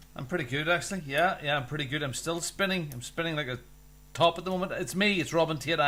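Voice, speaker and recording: Talking at a very fast pace with a Northern English accent, a man with a fairly high pitch and a bright, sharp tone shows ordinary pitch variation. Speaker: show DJ.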